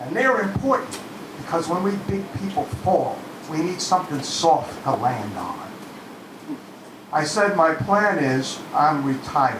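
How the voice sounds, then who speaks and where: Noticeable background noise and audible room echo surround a man with a high pitch. He talks at a fairly slow pace with very wide pitch swings and long, frequent pauses. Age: 60s. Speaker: open mic performer. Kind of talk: spoken word performance. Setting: stage with audience.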